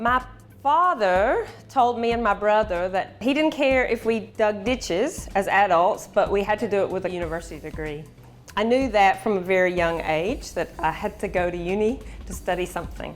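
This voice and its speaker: Over music in the background, a woman with a strong Alabama accent speaks at a moderate pace with lively intonation. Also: medium pitch for a woman. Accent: strong Alabama Southern US. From US South, rural Alabama. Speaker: research and development scientist. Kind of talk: workplace interview.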